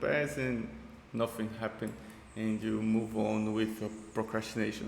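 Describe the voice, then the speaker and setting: A man with a Portuguese accent and medium pitch speaks with audible room echo and noticeable background noise. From Brazil. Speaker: YouTuber reacting to videos. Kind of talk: casual reaction commentary. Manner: halting.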